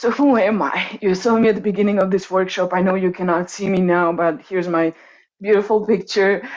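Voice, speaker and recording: A woman with a Croatian accent speaks at a fairly quick pace. Her loudness is very even and her intonation fairly even. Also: medium pitch for a woman. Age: 30s. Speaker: coach and workshop presenter. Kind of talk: online workshop presentation.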